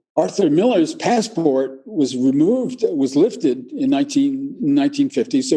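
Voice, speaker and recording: Delivered at a moderate pace, the voice has a dark, mellow tone and very wide pitch swings. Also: man. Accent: American. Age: 80s+. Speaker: retired neuroscientist. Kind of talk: interview. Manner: halting, many fillers.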